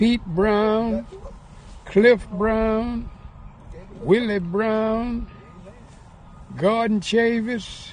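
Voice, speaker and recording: A man at a high pitch with monotone, flat intonation, at a very slow pace with long, frequent pauses. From Atlanta, Georgia. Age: 80s+. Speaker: professional golfer. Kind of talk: interview answer, reminiscing.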